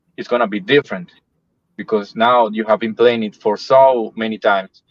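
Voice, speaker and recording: Speaking with a Spanish accent, a man with a medium-pitched voice is heard in a dry, close sound with no echo. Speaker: metal band musician. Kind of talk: casual interview.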